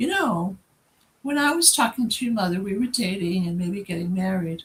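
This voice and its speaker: Somewhat breathy, a woman speaks at a medium pitch with lively intonation. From New England. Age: 70s. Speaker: founder of a heritage organization. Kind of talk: interview.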